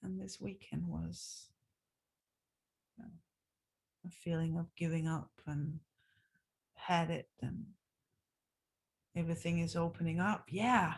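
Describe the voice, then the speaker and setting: Relaxed in tone, a woman with vocal fry and a fairly low pitch speaks at a fairly slow pace, using ordinary pitch variation and long, frequent pauses. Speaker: dance teacher. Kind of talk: casual video diary. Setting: recorded on zoom after class. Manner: slow, relaxed.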